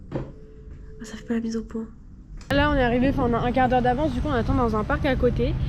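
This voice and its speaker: A woman talks at a very fast pace, with noticeable background noise. Audible room echo surrounds her voice. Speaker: travel vlogger. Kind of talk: vlog narration. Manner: casual, filler-heavy.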